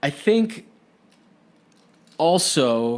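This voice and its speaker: Very wide pitch swings mark this man's high-pitched voice. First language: Spanish. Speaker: podcast host. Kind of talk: casual chat.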